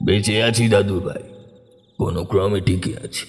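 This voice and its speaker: A man performs in a cartoonish character voice. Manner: authoritative.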